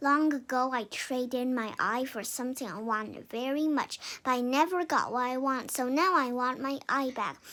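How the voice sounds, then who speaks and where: A put-on character voice at a moderate pace, with hardly any pauses. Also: woman, high pitch for a woman. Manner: gruff, demanding.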